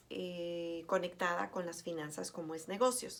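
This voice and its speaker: A woman's medium-pitched voice moves along at a very slow pace. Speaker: teacher. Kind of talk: lecture. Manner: hesitant, many fillers.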